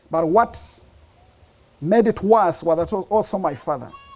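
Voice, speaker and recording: Someone speaks with a Ugandan accent at a moderate pace and with ordinary pitch variation, over noticeable background noise. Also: man. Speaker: speaker sharing life story. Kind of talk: testimony.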